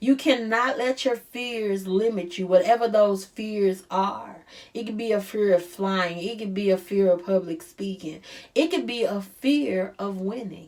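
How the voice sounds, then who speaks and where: A woman with a St. Louis accent speaks at a fairly slow pace in a medium pitch with ordinary pitch variation. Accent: St. Louis accent, noticeable. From US Midwest, St. Louis. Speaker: life coach. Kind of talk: motivational talk. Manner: stresses R sounds; casual, conversational.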